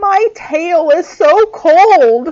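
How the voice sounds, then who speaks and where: A woman puts on a character voice. It is pitched extremely high. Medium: read story.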